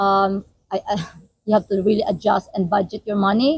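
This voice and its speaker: A woman's somewhat breathy voice with fairly even intonation, dry and close with no echo. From Philippines. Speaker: nurse, international student. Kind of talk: casual interview.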